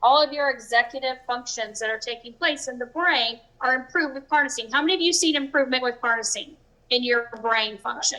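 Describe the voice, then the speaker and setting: A woman with a high voice speaks at a fairly quick pace, raised and projected. Her tone is bright and sharp, with ordinary pitch variation. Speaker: presenter. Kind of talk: live presentation to audience. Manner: animated.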